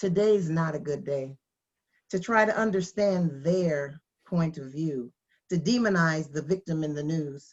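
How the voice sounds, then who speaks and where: A woman speaks at a fairly slow pace in a very deep, low voice, with ordinary pitch variation. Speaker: spoken word poet. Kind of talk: spoken word poetry performance.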